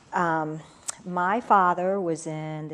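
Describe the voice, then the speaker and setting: Fairly low in pitch, a woman speaks with an American accent and fairly even intonation. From Pennsylvania, outside Philadelphia. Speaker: business consultant. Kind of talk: interview.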